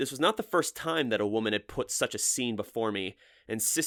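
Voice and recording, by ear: Someone reads aloud here in a natural voice.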